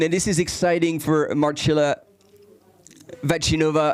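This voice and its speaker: Speaking at a fairly slow pace, the man has a French accent. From France. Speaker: live race commentator. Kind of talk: live commentary. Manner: halting, many repetitions.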